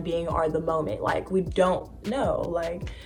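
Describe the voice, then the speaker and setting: Woman at medium pitch and moderate pace, with audible room echo. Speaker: lifestyle vlogger. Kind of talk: casual vlog talk.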